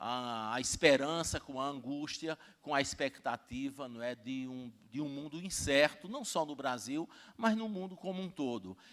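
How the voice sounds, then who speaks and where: On a very clean recording with a silent background, a man with a fairly high pitch speaks at a fairly slow pace with lively intonation. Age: 60s. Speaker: university rector and professor. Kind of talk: conference talk. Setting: stage with audience. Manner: halting, many fillers.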